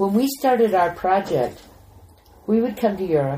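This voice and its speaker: A woman's somewhat breathy voice, dark and mellow in tone, at a moderate pace. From US Midwest, Missouri. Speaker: animation journalist. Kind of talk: casual chat.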